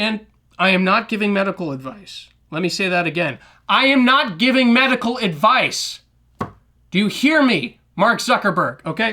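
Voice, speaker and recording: In a raised, projected voice with an American accent, a man speaks at a high pitch and moderate pace with lively intonation and a bright, sharp tone on a very clean recording with a silent background. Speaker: podcast host. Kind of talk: podcast monologue.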